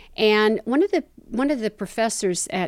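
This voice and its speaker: This woman speaks at a moderate pace with a Southern US accent and ordinary pitch variation. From US South, Tennessee and the Carolinas. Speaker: activist. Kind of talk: interview.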